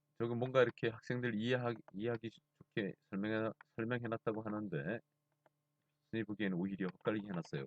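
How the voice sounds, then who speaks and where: Very fast speech comes from a man with a fairly low pitch. His pitch variation is ordinary. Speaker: math teacher. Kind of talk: lecture.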